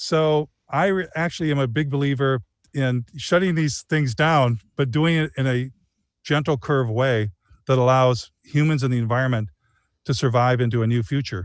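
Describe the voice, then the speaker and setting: In a Michigan accent, the speaker keeps a moderate pace, very even loudness and ordinary pitch variation, with a dry sound with no echo and a quiet background. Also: man. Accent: Michigan American. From Michigan (Flint area). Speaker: documentary filmmaker; guest. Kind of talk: interview conversation. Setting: outdoors under a tree. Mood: earnest, animated. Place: garden. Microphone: video call.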